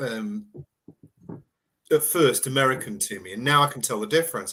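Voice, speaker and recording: A man talks at medium pitch with a British accent. His tone is bright and sharp, and his intonation is lively. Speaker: cryptozoologist and explorer. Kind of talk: casual chat.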